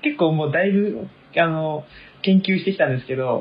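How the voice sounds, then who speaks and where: His pitch rises and falls very widely. The voice belongs to a man. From Tokyo. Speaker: university student. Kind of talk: casual chat.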